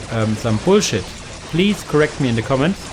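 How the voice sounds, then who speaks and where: With music in the background, a man with a German accent speaks at a medium pitch using lively intonation. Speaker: video game content creator. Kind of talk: game commentary tutorial. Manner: hesitant, many fillers.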